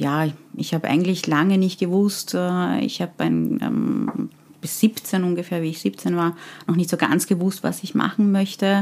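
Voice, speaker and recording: A woman speaks at a fairly slow pace with a fairly low pitch and ordinary pitch variation. The recording is very clean, with a silent background. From Austria (from Afghanistan at age ten). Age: 40s. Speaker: HR consultant and leadership coach. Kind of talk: interview. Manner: hesitant, many fillers.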